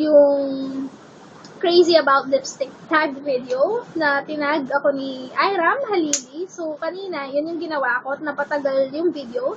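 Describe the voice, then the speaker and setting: Loud and high-pitched, a woman talks with ordinary pitch variation over noticeable background noise. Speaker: beauty vlogger. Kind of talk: vlog chat. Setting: bedroom at home. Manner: animated.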